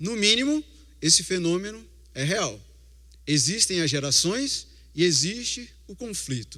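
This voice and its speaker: A man with a Recife accent speaks fairly slowly in a high, bright, sharp voice, his pitch swinging very widely. He leaves long, frequent pauses, and room echo is audible. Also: big swings in loudness. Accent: Recife (Pernambuco). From Recife, Brazil. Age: 40s. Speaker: lay preacher. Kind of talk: sermon.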